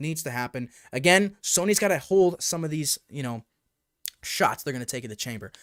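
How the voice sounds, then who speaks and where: A man speaks at a fairly quick pace with lively intonation. The sound is dry and close with no echo, and the recording is very clean against a silent background. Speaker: VR gaming YouTuber. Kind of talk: live stream chat reading viewer comments. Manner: fast; animated.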